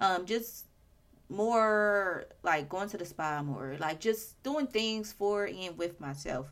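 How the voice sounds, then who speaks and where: Very slow speech from a woman at a medium pitch with lively intonation. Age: 30s. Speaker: podcast host. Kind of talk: casual solo chat.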